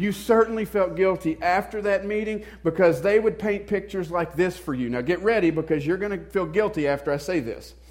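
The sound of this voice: A man speaks fairly quickly in a Southern US accent. His pitch is high and his tone slightly mellow.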